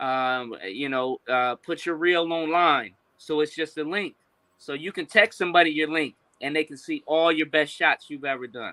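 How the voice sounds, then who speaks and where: With a plain, everyday voice, a man speaks at a fairly high pitch and a moderate pace, with ordinary pitch variation and big swings in loudness. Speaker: film and media professional. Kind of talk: podcast interview answer.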